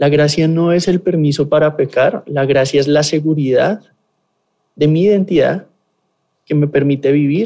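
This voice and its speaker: Slowish and with long, frequent pauses, a man speaks in a dark, mellow tone with ordinary pitch variation. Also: very even loudness. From Colombia, Bogotá. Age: 20s. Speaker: pastor. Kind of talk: interview testimony and teaching.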